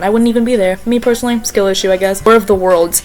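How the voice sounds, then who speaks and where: A woman talks at a very fast pace in a fairly high voice, with an animated tone and ordinary pitch variation. Noticeable background noise sits behind her. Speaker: vlogger. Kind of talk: casual chat. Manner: loud.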